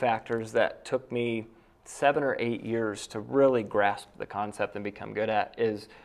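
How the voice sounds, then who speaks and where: In an American accent, a man with a plain, everyday voice speaks at a moderate pace with fairly even intonation. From upstate New York (near Cooperstown). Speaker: real estate investor and realtor. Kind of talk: round table discussion.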